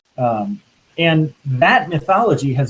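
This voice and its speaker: A somewhat breathy voice with lively intonation. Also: man. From Louisiana. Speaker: minister. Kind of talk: panel discussion.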